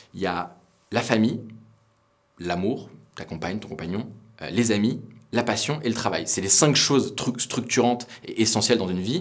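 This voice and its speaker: With long, frequent pauses, a man speaks at a moderate pace and medium pitch with ordinary pitch variation. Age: 20s. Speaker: startup founder. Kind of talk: interview monologue. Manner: hesitant, many fillers.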